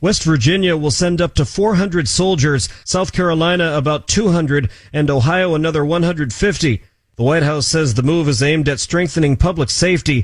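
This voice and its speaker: Talking at a fairly quick pace in a normal speaking voice, a man holds a fairly high pitch with very even loudness. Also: ordinary pitch variation, very clean recording, silent background. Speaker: radio news reporter. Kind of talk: radio news report.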